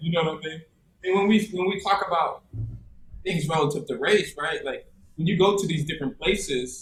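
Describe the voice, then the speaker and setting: A man speaks with an American accent. His pitch is fairly high and his pace fairly quick. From US South, South Carolina. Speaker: teacher and coach. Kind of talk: casual chat. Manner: halting, many fillers.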